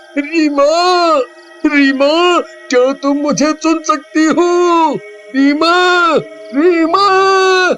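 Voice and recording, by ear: A man's put-on character voice, extremely high-pitched and very slow, with clear background noise.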